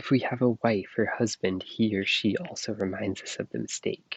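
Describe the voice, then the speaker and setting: A soft-spoken man, dry and close with no echo. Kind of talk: ASMR book reading. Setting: outdoors, recorded on earbuds.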